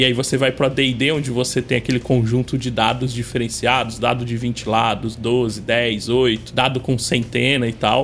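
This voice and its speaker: Monotone, flat delivery at a moderate pace with hardly any pauses and very even loudness, over music in the background. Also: man, medium pitch for a man. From coastal São Paulo state, Brazil. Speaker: YouTuber, tabletop RPG game master. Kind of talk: casual chat.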